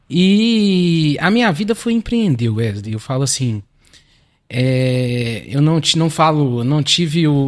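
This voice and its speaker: Speaking very slowly, a man with a fairly high voice swings widely in pitch while keeping his loudness very even. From Minas Gerais, Belo Horizonte. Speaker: lawyer and real estate business partner. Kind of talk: podcast interview.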